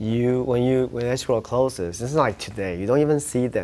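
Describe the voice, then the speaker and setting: At a fairly quick pace, a man speaks in a Taiwanese accent with a medium pitch. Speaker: real estate agent. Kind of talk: interview storytelling. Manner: halting, frequent self-repetitions.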